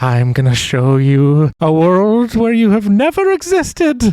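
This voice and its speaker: A man's put-on character voice, high in pitch, with very wide pitch swings at a fairly slow pace. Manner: threatening.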